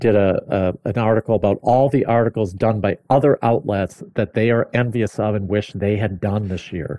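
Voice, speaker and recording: In an ordinary speaking voice, a man with a fairly low pitch talks at a fairly slow pace with fairly even intonation. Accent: American. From US Midwest, mid Michigan. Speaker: automotive media editor. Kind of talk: casual chat.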